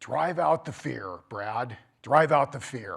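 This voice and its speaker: Using a booming, put-on character voice, a man speaks at a fairly slow pace with a medium pitch and lively intonation. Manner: commanding, deliberate.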